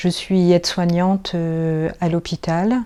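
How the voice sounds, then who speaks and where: This woman's pitch sits fairly low. Her tone is dark and mellow. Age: 50s. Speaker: nursing assistant, church lay associate. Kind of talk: testimony interview.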